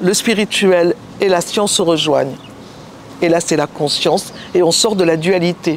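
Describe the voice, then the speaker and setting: A woman with a fairly low pitch speaks at a very even loudness, pausing long and often. Noticeable background noise runs underneath. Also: fairly even intonation, fairly slow pace. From southern France, Nice. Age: 80s+. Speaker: singer and speaker, therapist. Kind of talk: interview. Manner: halting.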